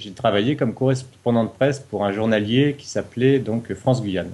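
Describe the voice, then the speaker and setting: A man talks in a medium pitch, his pitch varying in an ordinary way. The background is silent and the recording very clean. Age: 40s. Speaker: novelist, reality show contestant. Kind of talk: interview. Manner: hesitant, with fillers.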